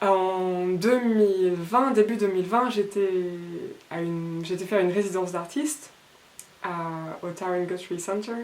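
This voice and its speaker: A woman talks at a fairly slow pace with long, frequent pauses. Audible room echo surrounds her voice. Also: medium pitch for a woman, ordinary pitch variation. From France. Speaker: illustrator. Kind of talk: artist talk. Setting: Facebook live. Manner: halting.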